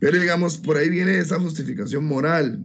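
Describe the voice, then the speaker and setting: A man talks at a fairly high pitch with ordinary pitch variation and some vocal fry. Audible room echo surrounds his voice. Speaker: law student. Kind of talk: class presentation. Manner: hesitant.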